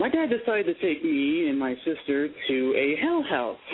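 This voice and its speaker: An unremarkable speaking voice with ordinary pitch variation and a moderate pace. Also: man. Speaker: caller. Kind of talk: casual chat. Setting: phone call.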